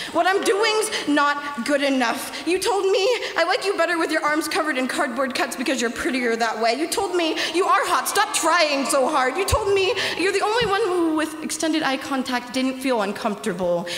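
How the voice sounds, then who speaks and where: With hardly any pauses, a woman speaks at an extremely high pitch with very wide pitch swings, amid light background noise and audible room echo. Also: moderate pace. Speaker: youth slam poet. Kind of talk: spoken word poetry performance. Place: hall. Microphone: handheld.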